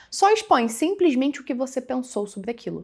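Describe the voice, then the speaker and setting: In a very clean recording with a silent background, a woman with a Brazilian accent talks at a fairly quick pace. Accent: regional Brazilian. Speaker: digital business mentor. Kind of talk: tutorial. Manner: casual, conversational.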